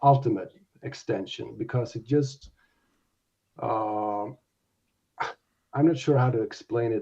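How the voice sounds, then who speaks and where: A man speaks at a medium pitch in a dark, mellow tone with a non-native accent. His voice is somewhat breathy. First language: not English. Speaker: domain investor. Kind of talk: interview on live audio show. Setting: live audio space. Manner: halting.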